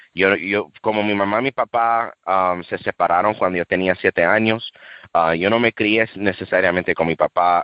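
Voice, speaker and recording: At a fairly slow pace, a man speaks in a fairly low pitch. His pitch variation is ordinary. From USA, Dominican and Cuban family. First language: English (speaking Spanish). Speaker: street preacher. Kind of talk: testimony. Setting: radio interview. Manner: halting, self-correcting.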